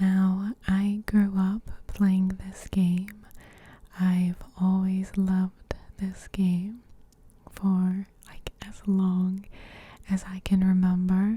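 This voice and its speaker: Soft-spoken and somewhat breathy, a woman talks at a very slow pace in a medium pitch and dark, mellow tone, her intonation monotone and flat while her loudness swings widely. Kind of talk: ASMR gameplay narration. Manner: soft-spoken, slow, relaxing.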